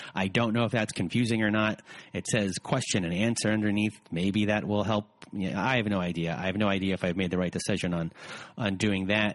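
A man with an ordinary speaking voice talks at a fairly quick pace and a fairly low pitch, his intonation fairly even and his loudness very even. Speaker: podcast host. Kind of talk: casual interview.

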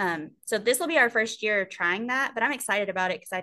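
A bright, sharp tone with a Texan accent moves at a moderate pace with ordinary pitch variation. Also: woman. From Texas, Sweeny. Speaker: high school soccer coach. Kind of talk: casual chat.

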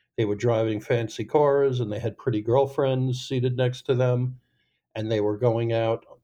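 The voice is somewhat breathy with a dark, mellow tone and monotone, flat intonation. It moves at a moderate pace against a quiet background. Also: man. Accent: American. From New York, Long Island. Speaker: formerly incarcerated ex-stockbroker, nonprofit founder. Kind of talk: interview conversation.

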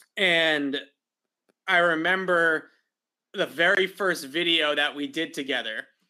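A man speaks slowly. His tone is bright and sharp, with a fairly high pitch. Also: ordinary pitch variation.

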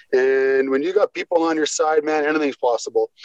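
The sound is dry and close with no echo as a man talks at a fairly quick pace with fairly even intonation. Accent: western Canadian. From western Canada, Squamish BC. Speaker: former hockey enforcer. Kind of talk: casual interview chat.

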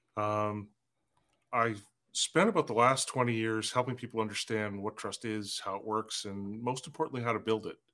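On a very clean recording with a silent background, a man speaks at a moderate pace and medium pitch in a bright, sharp tone with fairly even intonation. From northern British Columbia, Canada. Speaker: trust consultant and author. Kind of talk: interview.

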